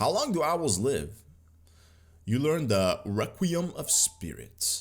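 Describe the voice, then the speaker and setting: This man has an Arabic accent. His pace is very slow. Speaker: gaming YouTuber. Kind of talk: gameplay commentary. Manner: animated.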